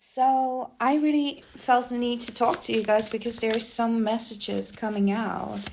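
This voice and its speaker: Against noticeable background noise, a woman with a non-native accent speaks at a moderate pace, fairly high in pitch, with fairly even intonation and hardly any pauses. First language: not English. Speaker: spiritual reader. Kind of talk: casual spiritual talk to viewers. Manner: hesitant, searching for words.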